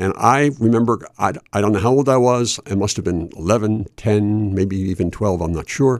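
With an American accent, a man speaks at a moderate pace in a fairly low pitch with ordinary pitch variation. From Chester, Pennsylvania (Delaware Valley). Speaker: college radio DJ, bluegrass show host. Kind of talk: casual interview. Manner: hesitant, many fillers.

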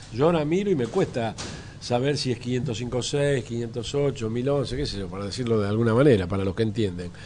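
A man talks at a moderate pace and medium pitch with lively intonation. Noticeable background noise can be heard. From Argentina, Buenos Aires area. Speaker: photographer. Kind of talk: interview. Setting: café.

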